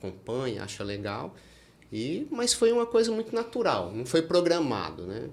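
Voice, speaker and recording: At a moderate pace, a man with a fairly high pitch talks with very wide pitch swings and big swings in loudness. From Brazil, Minas Gerais (rural). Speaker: oral and maxillofacial surgeon. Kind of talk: podcast interview.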